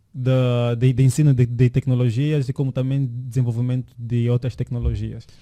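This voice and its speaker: A man's medium-pitched voice with a dark, mellow tone at a moderate pace, dry and close with no echo. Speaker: podcast co-host, tech entrepreneur. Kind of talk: casual chat. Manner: halting, many repeated words.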